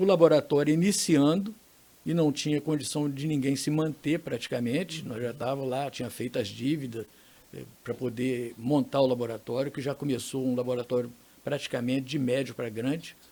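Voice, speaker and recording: This man has a medium pitch and a dark, mellow tone. He talks at a moderate pace with ordinary pitch variation. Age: 70s. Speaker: laboratory co-owner, entrepreneur. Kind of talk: podcast interview.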